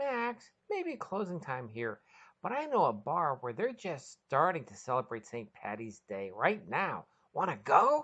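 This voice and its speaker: In a put-on character voice of middle pitch, the speaker talks at a moderate pace with very wide pitch swings. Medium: read story.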